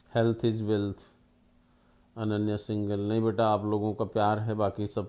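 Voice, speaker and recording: This man's voice has a dark, mellow tone. His intonation is monotone and flat. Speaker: history teacher. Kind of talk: online lecture. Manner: slow; soft-spoken.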